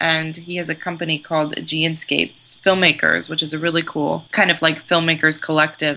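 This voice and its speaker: With an American accent and a bright, sharp tone, the speaker talks at a moderate pace in a monotone, flat delivery with vocal fry and hardly any pauses. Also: woman, very deep, low pitch for a woman. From California, US. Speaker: filmmaker. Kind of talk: interview.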